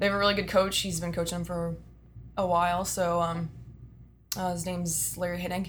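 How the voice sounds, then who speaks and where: In a Texan accent, a woman speaks fairly quickly at a fairly low pitch, somewhat breathy and flat in intonation, with long, frequent pauses and audible room echo. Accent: Texan American. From Texas (Austin area). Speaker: strength and conditioning coach. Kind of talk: interview.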